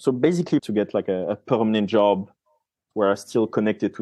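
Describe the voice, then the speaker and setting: A man speaks at a fairly quick pace with a French accent. His pitch is fairly low. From France. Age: 30s. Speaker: marine scientist. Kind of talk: podcast interview. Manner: casual, with fillers and self-corrections.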